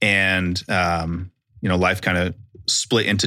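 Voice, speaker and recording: In a very clean recording with a silent background, a man with an American accent speaks in a bright, sharp tone at fairly low pitch, his intonation monotone and flat. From Utah, Salt Lake City. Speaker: Marine veteran, nonprofit founder. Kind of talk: casual interview.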